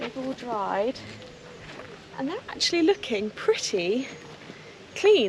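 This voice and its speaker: Against noticeable background noise, a woman with a British accent speaks at a fairly slow pace. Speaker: equestrian vlogger. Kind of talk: casual vlog; tutorial narration. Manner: soft-spoken.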